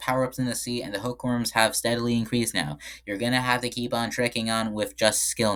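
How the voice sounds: A natural reading voice is heard here.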